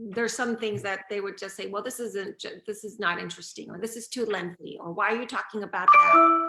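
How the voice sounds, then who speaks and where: Music plays in the background while a woman speaks at a fairly quick pace with hardly any pauses, in a medium pitch with ordinary pitch variation. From Venezuela. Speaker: author. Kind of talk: interview.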